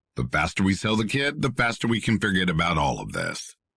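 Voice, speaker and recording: Putting on a character voice, a man talks at a fairly quick pace, his fairly low pitch swinging very widely. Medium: read story.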